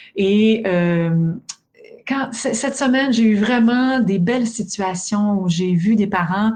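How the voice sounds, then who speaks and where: A woman's somewhat breathy, medium-pitched voice with a Quebec accent, lively intonation and a very slow pace. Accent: Québécois French. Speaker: sleep education expert, podcast host. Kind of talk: casual podcast chat.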